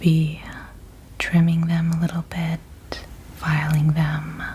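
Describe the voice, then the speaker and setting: Speaking at a very slow pace, a woman is heard over noticeable background noise. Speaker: ASMR creator. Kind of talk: ASMR soft speaking. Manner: soft-spoken.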